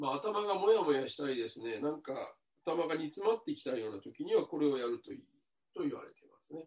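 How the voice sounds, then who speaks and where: Very wide pitch swings and big swings in loudness mark this man's fairly high voice. He talks at a very fast pace. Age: 60s. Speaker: Zen Buddhist monk. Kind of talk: dharma talk and dialogue. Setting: video call.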